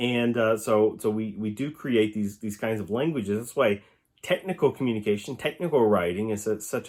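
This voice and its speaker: On a very clean recording with a silent background, a man with an Oklahoma accent talks in a fairly low voice with ordinary pitch variation. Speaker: professor. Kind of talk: recorded lecture answering student questions. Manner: halting, many fillers and restarts.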